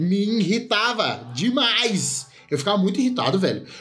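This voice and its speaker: A high-pitched man's voice at a moderate pace, with audible room echo and noticeable background noise. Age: 20s. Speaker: film podcast co-host. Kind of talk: casual chat.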